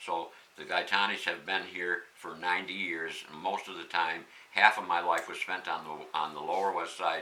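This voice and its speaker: In a room with audible echo and noticeable background noise, a man talks at a moderate pace with a very deep, low pitch, monotone, flat intonation and big swings in loudness. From Pittsfield, Massachusetts. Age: 70s. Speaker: local election candidate. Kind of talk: interview.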